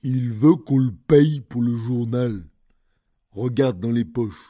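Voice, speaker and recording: A man puts on a rumbling character voice at a medium pitch. He speaks at a fairly slow pace. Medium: read story. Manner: grumbling, drowsy.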